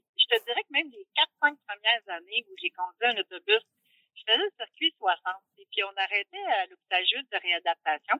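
In a Quebec accent, a woman with a fairly high pitch speaks at a moderate pace. Her pitch swings very widely and her loudness rises and falls sharply. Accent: Québécois French. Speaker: bus driver. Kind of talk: interview.

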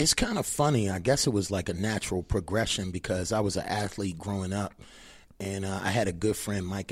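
This is a normal speaking voice at a fairly quick pace with ordinary pitch variation. The recording is very clean, the background silent. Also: man. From Maryland, US (Annapolis). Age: 40s. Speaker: fitness trainer. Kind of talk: casual interview.

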